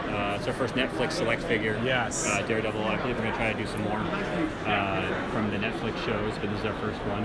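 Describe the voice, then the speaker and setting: Loud background noise runs under a man talking at a very fast pace. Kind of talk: interview answer, product walkthrough. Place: hall. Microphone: phone near.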